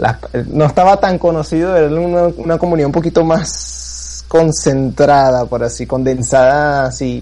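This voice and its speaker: Noticeable background noise behind a man speaking at moderate speed. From Venezuela. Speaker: blogger and forum member interviewed. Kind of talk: casual chat. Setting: online voice call.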